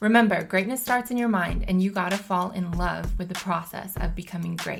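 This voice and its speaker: With music in the background, a woman at medium pitch talks fairly quickly in an upbeat tone. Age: 30s. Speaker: podcast host and basketball player. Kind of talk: podcast monologue.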